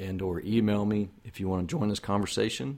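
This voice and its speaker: A man talks at a moderate pace with a fairly low pitch and fairly even intonation. The recording is very clean, with a silent background. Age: 50s. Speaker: podcast host, foster and adoptive dad. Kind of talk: solo podcast monologue, encouraging talk. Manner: conversational, with fillers and repetitions.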